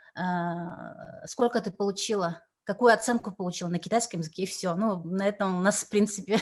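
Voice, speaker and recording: A woman's medium-pitched voice at a moderate pace, with fairly even intonation, on a very clean recording with a silent background. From Yakutia, Russia. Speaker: translator and cultural envoy. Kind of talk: interview. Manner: halting, many fillers.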